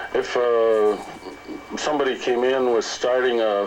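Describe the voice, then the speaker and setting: With a Canadian accent, a man speaks in a fairly even intonation over noticeable background noise. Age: old. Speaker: retired journalist. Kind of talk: casual chat. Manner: slow; halting.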